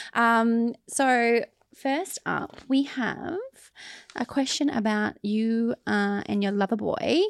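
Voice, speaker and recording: Very slow speech from a woman with a fairly high pitch and ordinary pitch variation, on a dry, close recording with no echo. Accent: Australian. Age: 30s. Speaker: podcast host. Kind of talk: interview questions; casual chat.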